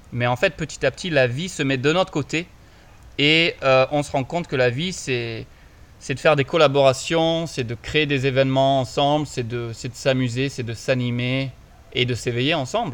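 A man talks at a fairly slow pace. He has a plain, everyday voice. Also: medium pitch for a man, ordinary pitch variation. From France. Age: 30s. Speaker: podcast co-host, spiritual coach. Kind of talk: casual conversation. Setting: recording in Bali.

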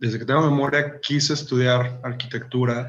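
A man speaks with monotone, flat intonation amid audible room echo. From Mexico, Jalisco (small town). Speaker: architect and architectural photographer. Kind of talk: interview.

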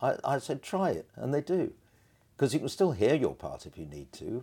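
Heard on a very clean recording with a silent background, a man speaks at a moderate pace in a dark, mellow tone with vocal fry and very wide pitch swings. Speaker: choral conductor and music teacher. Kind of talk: interview. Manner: animated.

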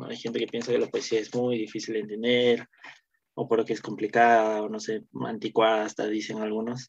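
Here is a man with a medium pitch. His intonation stays fairly even. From Peru, Cusco. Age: 20s. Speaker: university student. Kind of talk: casual interview; poetry reading. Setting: radio studio. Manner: halting.

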